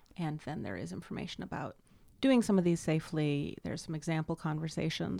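A woman talks at a fairly quick pace in a very deep, low voice with a dark, mellow tone and vocal fry. Her pitch swings very widely, and the recording is very clean with a silent background. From US West Coast, Los Angeles. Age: 30s. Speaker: sex and intimacy coach, author. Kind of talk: casual interview.

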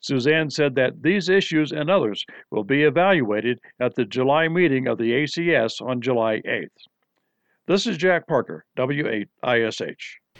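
Against a quiet background, a man with a fairly high voice and an unremarkable speaking voice talks at a moderate pace with lively intonation, the sound dry and close with no echo. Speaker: news announcer. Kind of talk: scripted news announcement. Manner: formal, crisp, authoritative.

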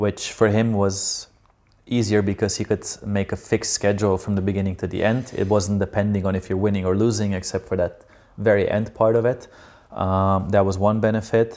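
At a fairly quick pace, a man with a Slovenian accent delivers a dark, mellow tone at a fairly low pitch with monotone, flat intonation. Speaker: professional beach volleyball player. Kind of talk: casual interview conversation.

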